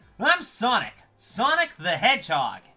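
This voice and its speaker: A man doing a put-on character voice speaks at a moderate pace, his pitch swinging very widely. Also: extremely high pitch for a man. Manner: cartoon, brash, cocky.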